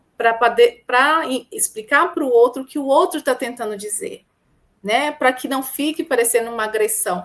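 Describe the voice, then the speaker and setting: A woman speaks with lively intonation. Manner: calm, gentle.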